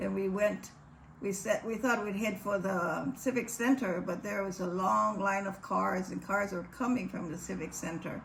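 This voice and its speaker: There is noticeable background noise, and the talking moves at a moderate pace. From Hawaii, Maui (Lahaina). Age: 80s+. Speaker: wildfire survivor. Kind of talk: testimony.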